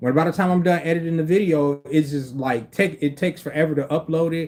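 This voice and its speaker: Speaking at a very fast pace, a man with a fairly high pitch keeps his intonation fairly even. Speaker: livestreamer. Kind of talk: casual livestream chat. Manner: stutters, speech impediment.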